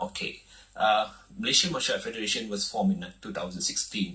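At a moderate pace, a man's voice swings very widely in pitch against a quiet background. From Malaysia. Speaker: martial arts federation president. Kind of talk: TV talk show interview. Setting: TV studio. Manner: halting. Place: studio.

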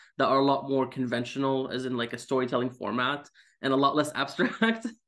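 A man with an Arabic accent at a very fast pace, ordinary pitch variation, and a quiet background. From Syria. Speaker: comic book writer. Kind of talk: casual interview. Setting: video call. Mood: friendly, smiling. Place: home room. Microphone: video call.

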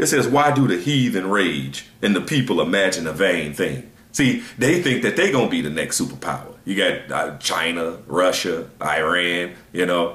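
At a moderate pace, a man talks in a room with audible echo. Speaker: religious teacher. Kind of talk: scripture reading with sermon commentary. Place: home room. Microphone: webcam.

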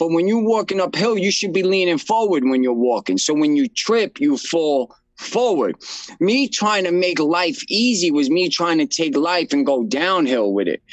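With a New York accent, a high-pitched man talks in very wide pitch swings at very even loudness, the sound dry with no echo. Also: moderate pace, quiet background. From Brooklyn, New York. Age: 30s. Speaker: nonprofit founder in addiction recovery. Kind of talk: interview. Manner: casual. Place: office. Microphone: video call.

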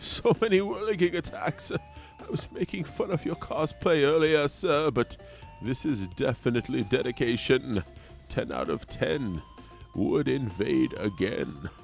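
Over clear background music, a man performs a put-on character voice with a theatrical tone. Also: moderate pace. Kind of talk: improvised comedy game commentary. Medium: role play. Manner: theatrical, chuckling.

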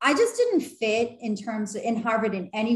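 A somewhat breathy woman's voice in a quiet background with audible room echo. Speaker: vlogger. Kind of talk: casual vlog chat. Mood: earnest, encouraging. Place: home room. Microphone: webcam.

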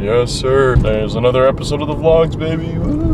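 A man's fairly quick speech with ordinary pitch variation, noticeable background noise and a dry sound with no echo. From Filipino heritage. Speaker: vlogger. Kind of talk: casual vlog monologue. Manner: casual, filler-heavy.

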